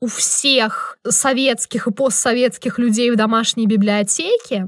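On a very clean recording with a silent background and a dry, close sound with no echo, a woman with an ordinary speaking voice speaks fairly slowly at a fairly high pitch with ordinary pitch variation. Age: 20s. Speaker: podcast co-host. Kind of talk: casual chat.

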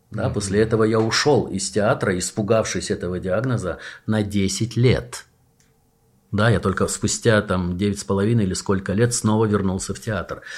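A man speaks with a fairly low pitch, ordinary pitch variation and a moderate pace. The recording is very clean, with a silent background. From Soviet Union. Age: 60s. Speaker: actor and theatre director. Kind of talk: casual chat. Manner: animated.

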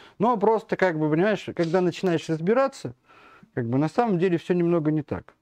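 Against a quiet background, a man speaks at a high pitch with lively intonation and a fairly quick pace. The sound is dry and close, with no echo. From Russia, Smolensk. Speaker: media editor-in-chief. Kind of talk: interview, casual chat. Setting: livestream. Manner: halting, many fillers.

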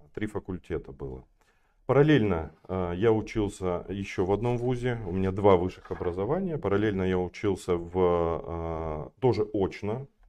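A man speaks in a normal speaking voice, pitched fairly low. His pace is moderate and his intonation lively. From Kazakhstan (north, Kostanay; school in Almaty). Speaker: flooring company sales director. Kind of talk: podcast interview.

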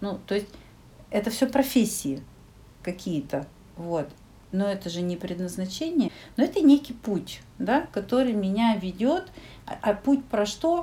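A somewhat breathy, dark, mellow voice at a fairly slow pace, with very wide pitch swings and long, frequent pauses. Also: woman, medium pitch for a woman. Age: 40s. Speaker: psychologist. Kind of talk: casual chat.

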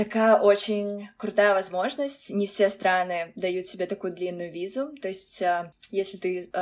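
Her pace is moderate. The woman talks at a medium pitch. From Russia (Kazan). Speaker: former international college student. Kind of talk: interview. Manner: hesitant, filler-heavy.

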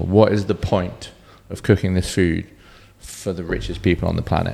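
Speaking in a British accent, a man with a very deep, low pitch and a dark, mellow tone keeps a moderate pace and fairly even intonation. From Cornwall, England. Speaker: bartender. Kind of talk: casual chat.

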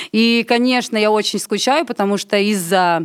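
A woman with an ordinary speaking voice talks at a medium pitch. Her pace is moderate and her intonation lively. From Latvia. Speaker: film director and singer. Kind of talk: casual chat.

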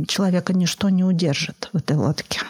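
A woman talks at a moderate pace and medium pitch, with ordinary pitch variation. The sound is dry and close with no echo, though noticeable background noise is present. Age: 40s. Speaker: psychologist, adoptive mother. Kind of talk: interview.

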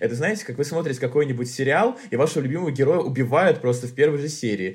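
A man with a somewhat breathy medium-pitched voice, a very fast pace and lively intonation. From Tolyatti, Russia. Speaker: journalist. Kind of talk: casual chat.

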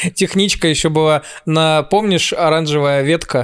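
The man has a high voice with fairly even intonation. He talks at a moderate pace. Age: 30s. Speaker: comedian. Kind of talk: casual chat.

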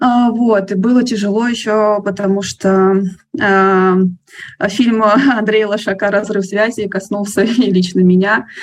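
At a very slow pace, a woman speaks at a medium pitch with fairly even intonation and very even loudness. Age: 20s. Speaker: book blogger, nonprofit worker. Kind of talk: casual chat.

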